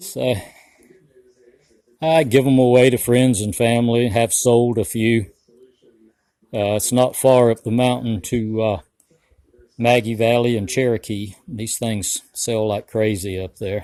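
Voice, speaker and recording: This man speaks with an Appalachian accent at a medium pitch and a fairly slow pace. His tone is dark and mellow, broken by long, frequent pauses. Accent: US Southern Appalachian. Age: 60s. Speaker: homesteader and woodcarver. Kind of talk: casual vlog walkthrough. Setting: outdoors and in workshop on farm. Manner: relaxed, slow-paced.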